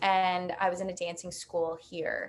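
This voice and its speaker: A woman speaks with a slight New York accent. Her pitch is medium. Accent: slight Staten Island. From New York City, Staten Island. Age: 20s. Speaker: recent college graduate. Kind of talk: casual interview chat.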